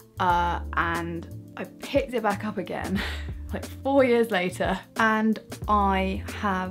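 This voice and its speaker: Faint music plays in the background as a woman with a British accent talks at a very slow pace. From UK. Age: 20s. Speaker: vlogger. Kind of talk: casual talk to camera. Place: home room. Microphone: camera far.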